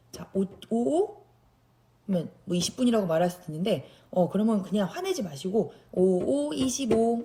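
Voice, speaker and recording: Her pitch sits at a medium level for a woman, swinging very widely. She keeps a moderate pace. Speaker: special education teacher. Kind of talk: tutorial.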